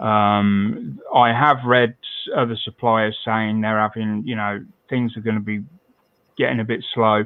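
Speaking at a fairly slow pace, a man with a British accent uses a medium pitch and fairly even intonation. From Britain. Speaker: scale modelling podcast host. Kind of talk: casual chat.

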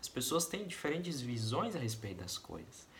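Here a man speaks in a plain, everyday voice at a medium pitch. His intonation is lively and his pace fairly quick. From Brazil, interior of Paraná. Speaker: volunteer missionary. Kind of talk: personal testimony.

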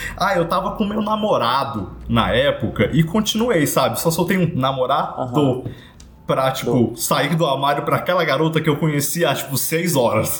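A man with a fairly high pitch and lively intonation speaks at a moderate pace. His loudness stays very even, and the room echo is audible. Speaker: podcast co-host. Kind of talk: casual chat.

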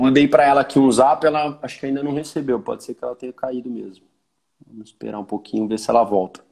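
A man with a medium pitch talks at a very fast pace. His pitch variation is ordinary, but his loudness swings widely. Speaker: podcast host. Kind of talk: casual chat. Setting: video call.

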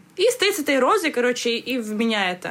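A woman's fairly high voice at a moderate pace, over noticeable background noise. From Kazakhstan. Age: 20s. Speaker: podcast co-host, stand-up producer. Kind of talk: casual chat. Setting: studio.

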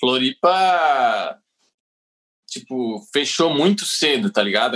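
Very wide pitch swings from a man talking at a fairly slow pace. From Santa Catarina, southern Brazil. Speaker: comedian. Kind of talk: casual chat.

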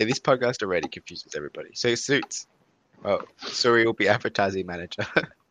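Talking at a very fast pace, this man has an Australian accent. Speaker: podcast host. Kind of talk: casual chat. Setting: video call. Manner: joking.

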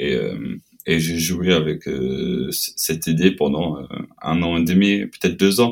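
A man with a very deep, low voice and vocal fry speaks with ordinary pitch variation. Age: 30s. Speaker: metal band frontman. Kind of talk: casual interview. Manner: halting.

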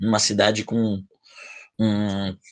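His intonation stays monotone and flat. The man's pitch is fairly low. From Brazil, Bragança Paulista (São Paulo state). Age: 20s. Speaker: podcast host. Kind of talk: casual chat.

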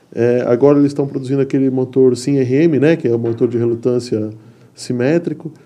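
This man has a plain, everyday voice, medium in pitch, with fairly even intonation and a fairly quick pace. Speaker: podcast host. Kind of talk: casual chat. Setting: studio.

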